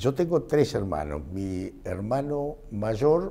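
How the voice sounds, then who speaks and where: Very slowly, a man speaks in a dark, mellow tone. His pitch makes very wide swings. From Argentina, Mercedes, Buenos Aires province; Buenos Aires province, Argentina. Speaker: physician and medical professor; interviewee. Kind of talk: interview; interview answer. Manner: hesitant, frequent filler este. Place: classroom. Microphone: lapel.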